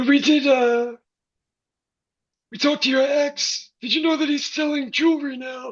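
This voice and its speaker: The speaker uses a put-on character voice at a high pitch. The pace is moderate, broken by long, frequent pauses. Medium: stage play. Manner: polite, hesitant.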